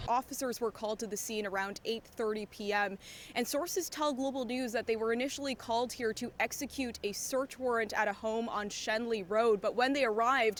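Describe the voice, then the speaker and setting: A plain, everyday voice from a woman, fairly high in pitch and fairly even in intonation, at a fairly quick pace with hardly any pauses. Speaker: television news reporter and anchor. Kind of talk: broadcast news reporting and anchoring.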